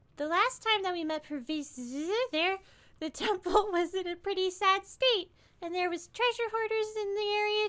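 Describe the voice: At a moderate pace, a woman uses a put-on character voice at an extremely high pitch, on a very clean recording with a silent background.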